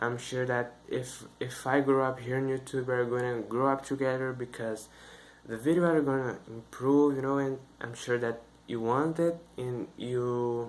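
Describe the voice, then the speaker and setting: Speaking with a Brazilian Portuguese accent, a man keeps a fairly slow pace, a medium pitch, and fairly even intonation. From northeast Brazil (Maranhão). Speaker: YouTuber, English learning channel. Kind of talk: casual vlog talk to camera. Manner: halting, many fillers.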